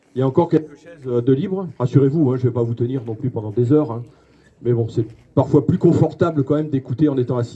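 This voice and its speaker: At a very fast pace, a man speaks in a dark, mellow tone with ordinary pitch variation. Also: medium pitch for a man. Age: 60s. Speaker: mayor. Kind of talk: public speech. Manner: halting, many fillers.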